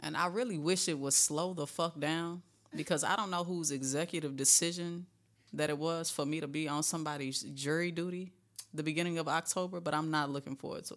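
A woman with a plain, everyday voice talks at a fairly quick pace in a fairly low pitch. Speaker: guest co-talker. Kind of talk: casual chat, banter.

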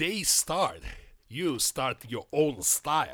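A man with a Japanese accent speaks in a bright, sharp tone with vocal fry and very wide pitch swings on a very clean recording with a silent background. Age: 60s. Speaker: karate practitioner. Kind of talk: casual chat. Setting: studio. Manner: halting.

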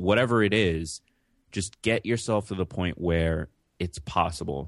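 Moderate pace in a New York accent, over a quiet background. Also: man. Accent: New York American. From New York City, born in Jamaica. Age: 20s. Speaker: podcaster and entrepreneur. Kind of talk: interview.

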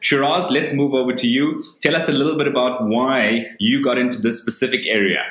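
A man's medium-pitched voice at a fairly quick pace, with hardly any pauses, fairly even intonation, very even loudness and noticeable background noise. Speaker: webinar host. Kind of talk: moderated panel discussion. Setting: video call.

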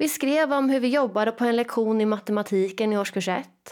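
A woman with a plain, everyday voice speaks at a moderate pace, fairly high in pitch. The recording is very clean, with a silent background. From Sweden, Jönköping. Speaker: teacher and education coach. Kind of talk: solo podcast monologue.

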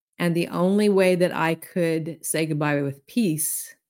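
A woman speaks at a fairly slow pace in a fairly low voice, with a Southern US accent, on a very clean recording with a silent background. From US South. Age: 60s. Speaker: intuitive healer and author. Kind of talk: casual chat.

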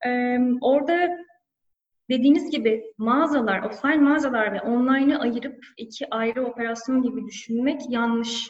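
This woman's voice is high-pitched. Its pitch varies in an ordinary way. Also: moderate pace. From Turkey, Antalya. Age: 30s. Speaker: e-commerce manager. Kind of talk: interview. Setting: office, remote call. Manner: hesitant fillers.

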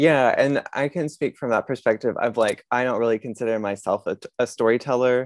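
An unremarkable speaking voice moves at a fairly quick pace with hardly any pauses and fairly even intonation. The sound is dry and close with no echo, over a quiet background. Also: man, medium pitch for a man. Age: 30s. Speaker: comedian and comedy show producer. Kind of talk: casual interview.

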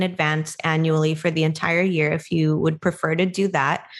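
In a very clean recording with a silent background, a woman with an American accent and a fairly low pitch speaks at a moderate pace with fairly even intonation in a normal speaking voice. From US, Filipino American. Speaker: podcast co-host. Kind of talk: casual chat.

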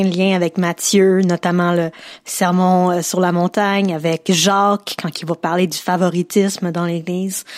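A woman speaks in a Quebec accent at a fairly slow pace with monotone, flat intonation. The sound is dry and close with no echo, on a very clean recording with a silent background. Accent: Québécois French. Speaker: podcast host. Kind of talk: interview.

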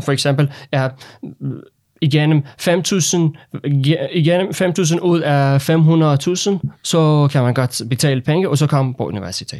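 A man with a Persian accent speaks very slowly in a fairly high pitch with ordinary pitch variation, on a very clean recording with a silent background. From Iran. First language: Persian (speaking Danish). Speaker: foreign doctor awaiting authorization. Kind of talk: interview. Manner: halting.

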